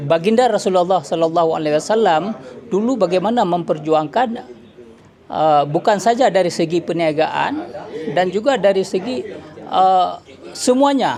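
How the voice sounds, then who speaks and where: A man with a high pitch and lively intonation, fairly slow pace, noticeable background noise behind him. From Aceh, Indonesia. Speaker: businessman. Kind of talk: speech at signing ceremony. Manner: halting, many fillers.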